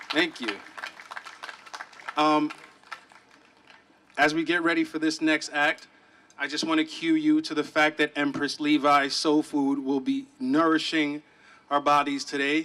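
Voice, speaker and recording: Fairly slow and monotone, a man speaks at a fairly high pitch with long, frequent pauses. Noticeable background noise runs underneath. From Ghana. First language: a Ghanaian language. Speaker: event emcee. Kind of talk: event announcements.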